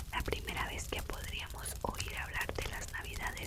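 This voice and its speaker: A woman's fairly slow whispering over noticeable background noise. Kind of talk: whispered reading about history. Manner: whispered, soft, relaxing.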